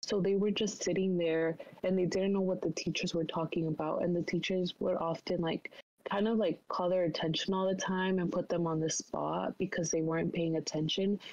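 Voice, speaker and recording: A woman with a Spanish accent, fairly low in pitch, at a moderate pace and in a monotone, flat intonation. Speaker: college student. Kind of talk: casual discussion. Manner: many fillers, hesitant.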